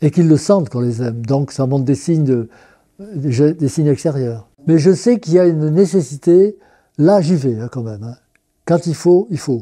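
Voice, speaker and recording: Lively in intonation, a man with a fairly high pitch speaks in a dark, mellow tone. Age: 80s+. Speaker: worker priest. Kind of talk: testimony interview. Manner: halting, with hesitations and repetitions.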